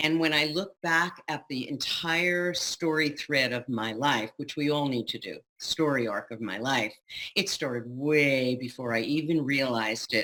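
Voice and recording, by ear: A woman talks at a fairly slow pace with ordinary pitch variation. Her pitch is extremely low, yet her tone is fairly bright.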